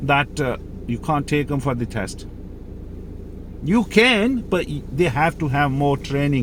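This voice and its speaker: A man speaks at a fairly slow pace in a fairly high pitch. Noticeable background noise runs underneath. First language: Mirpuri or Urdu. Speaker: driving instructor. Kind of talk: tutorial. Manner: halting, many fillers.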